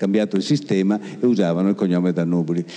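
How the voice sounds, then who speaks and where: A man talks at a very fast pace. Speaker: event presenter and teacher. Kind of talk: interview. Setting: stage with audience. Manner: halting.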